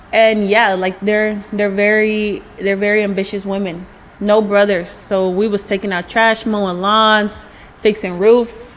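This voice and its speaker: Noticeable background noise behind a fairly slow delivery. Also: woman, medium pitch for a woman. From US South, Mobile, Alabama. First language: Spanish. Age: 20s. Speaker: entrepreneur, nail artist. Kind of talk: interview. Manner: animated.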